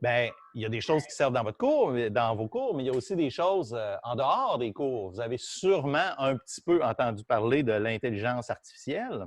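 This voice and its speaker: The intonation is lively, with big swings in loudness at a moderate pace. The sound is dry and close, with no echo. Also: man. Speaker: university physics professor. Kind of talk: lecture. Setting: classroom, also streamed on Zoom. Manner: halting, many fillers.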